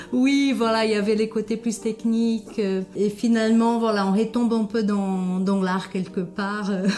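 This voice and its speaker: A woman with a fairly high pitch and a slight Brazilian accent talks at a fairly slow pace with hardly any pauses. Her intonation is monotone and flat, and her loudness is very even. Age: 40s. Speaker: ceramicist. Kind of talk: interview. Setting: ceramics workshop. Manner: hesitant, many filler sounds.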